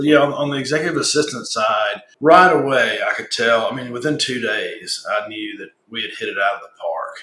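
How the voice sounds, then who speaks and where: The speaker has a Southern US accent and keeps a moderate pace. Room echo is audible. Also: man. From US South. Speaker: business owner, client testimonial. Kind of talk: interview testimonial. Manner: casual, with frequent fillers and repetitions.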